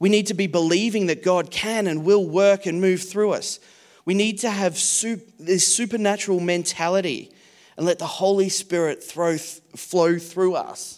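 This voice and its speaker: A man's high-pitched voice, fairly slow, with fairly even intonation. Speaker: preacher. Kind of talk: sermon. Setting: church.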